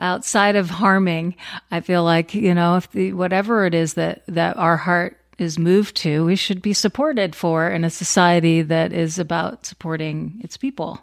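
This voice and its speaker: A woman speaks at a moderate pace in a plain, everyday voice, her fairly low pitch held in fairly even intonation. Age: 40s. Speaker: podcast host. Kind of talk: interview.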